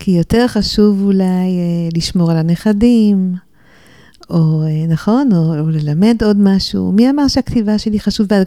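A woman's voice sits at a medium pitch with a dark, mellow tone. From Jerusalem and New York, alternating. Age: 60s. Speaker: novelist and former journalist. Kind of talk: interview. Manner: hesitant, frequent fillers.

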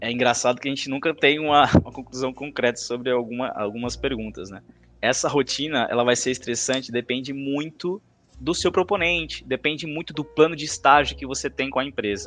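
The speaker has a normal speaking voice with ordinary pitch variation. The pace is fairly quick. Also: man, medium pitch for a man. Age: 20s. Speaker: marketing intern, former student league president. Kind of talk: podcast interview.

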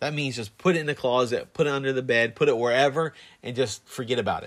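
On a very clean recording with a silent background, a man talks at a fairly quick pace with a medium pitch and ordinary pitch variation. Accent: American. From Florida, Plant City area. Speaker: podcast co-host. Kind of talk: casual chat. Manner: halting, many fillers.

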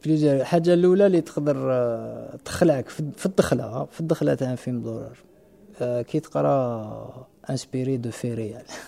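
Pitch varies in an ordinary way. Delivery is very slow. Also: man, medium pitch for a man. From Algeria. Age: 30s. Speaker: film director and screenwriter. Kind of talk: casual chat.

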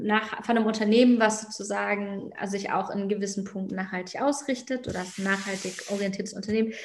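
A woman talks very fast at a fairly high pitch with ordinary pitch variation. Noticeable background noise and audible room echo are present. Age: 30s. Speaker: fashion label founder. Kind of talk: podcast interview.

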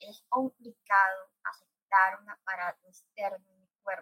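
A woman speaks at a fairly slow pace in a medium pitch, with ordinary pitch variation and a dry, close sound free of echo. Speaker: radio host. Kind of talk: casual chat.

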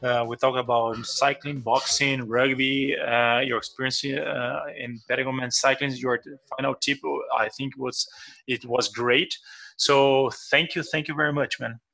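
With a Portuguese accent, a man of medium pitch speaks at a fairly slow pace in a monotone, flat intonation. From Brazil. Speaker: podcast host. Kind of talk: interview. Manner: halting.

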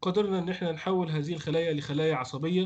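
Speaking at a moderate pace, a man has a high-pitched voice. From Egypt. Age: 30s. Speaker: veterinary researcher. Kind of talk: interview.

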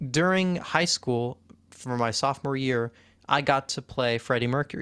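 A man with an unremarkable speaking voice talks at a moderate pace and medium pitch with ordinary pitch variation. The recording is very clean, with a silent background and a dry, close sound with no echo. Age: 20s. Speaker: student podcast host. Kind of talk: casual interview.

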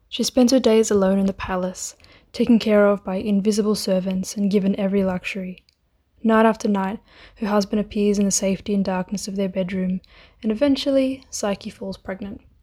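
A playful, somewhat breathy voice on a very clean recording with a silent background. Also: woman, medium pitch for a woman, fairly even intonation, fairly quick pace. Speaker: student editor retelling a myth. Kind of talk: scripted fairy-tale myth narration with wry modern asides. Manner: storyteller's flow, playful and dryly humorous, with sarcastic quips; chatty, casual and laughing, modern slang.

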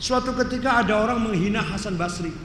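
A man uses a raised, projected voice at a high pitch with ordinary pitch variation, with audible room echo and noticeable background noise. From Cirebon, West Java. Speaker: Islamic preacher and professor. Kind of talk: religious lecture. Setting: mosque.

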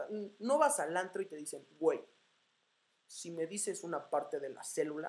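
A woman's medium-pitched voice at a moderate pace, animated in tone, with lively intonation. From Mexico, Morelia, Michoacán. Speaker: podcaster. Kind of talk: casual monologue. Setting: home recording, unscripted in front of mic.

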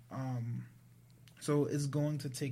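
There is audible room echo around this man's voice. He has an American accent, a dark, mellow tone and a somewhat breathy quality. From US Northeast, Providence, Rhode Island. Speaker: tech entrepreneur. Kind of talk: casual interview chat.

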